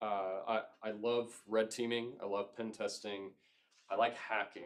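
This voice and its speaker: A man with a slight Southern US accent, at a fairly slow pace. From Georgia, US South. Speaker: cybersecurity consultant. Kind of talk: lecture. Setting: club meeting with audience.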